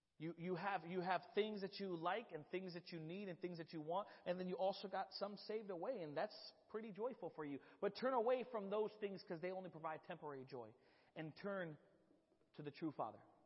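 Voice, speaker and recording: Loud and fairly quick, a man talks in a high voice. His pitch varies in an ordinary way. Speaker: church youth director preaching. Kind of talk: sermon. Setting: church service with congregation, microphone. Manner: halting, repetitive.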